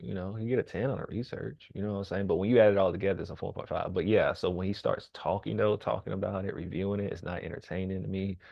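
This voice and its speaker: With vocal fry in his voice, a man talks at a very fast pace. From US South. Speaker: rapper and reaction streamer. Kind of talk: casual reaction commentary. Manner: casual, hesitant with fillers.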